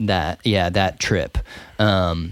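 A very slow man's voice with an American accent on a very clean recording with a silent background. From North Carolina. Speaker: recording engineer. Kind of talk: casual chat. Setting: studio.

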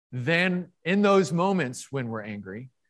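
A man speaks against a quiet background. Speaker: preacher. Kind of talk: sermon. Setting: church. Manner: halting.

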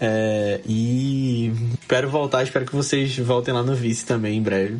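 A man's medium-pitched voice is heard with noticeable background noise behind it. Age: 20s. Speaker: podcast host guest. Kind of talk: casual chat.

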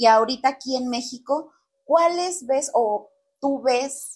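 A woman at a very slow pace with lively intonation. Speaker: podcast host. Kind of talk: casual interview chat.

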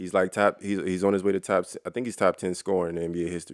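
A man speaks very fast in a very deep, low voice with a monotone, flat delivery, recorded dry and close with no echo on a very clean track with a silent background. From Baltimore. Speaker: basketball podcast co-host. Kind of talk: casual chat.

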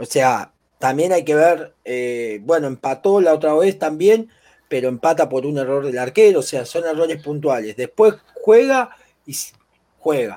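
In a Rioplatense accent, a man with a fairly high pitch speaks at a fairly slow pace using lively intonation. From Argentina. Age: 20s. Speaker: football pundit. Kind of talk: sports talk show.

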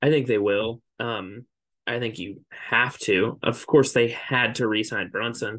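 Against a quiet background, a man in a normal speaking voice talks at a fairly slow pace, with a medium pitch and fairly even intonation. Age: 20s. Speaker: sports podcast co-host. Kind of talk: casual chat.

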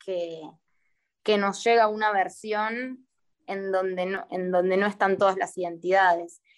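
Here is a woman with an ordinary speaking voice. She speaks at a fairly slow pace and a medium pitch. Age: 20s. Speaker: performing artist and poet. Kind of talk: casual interview. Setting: video call.

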